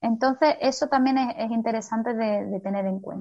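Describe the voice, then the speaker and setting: A woman's high voice at a fairly quick pace with ordinary pitch variation. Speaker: physiotherapist. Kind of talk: interview. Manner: fast.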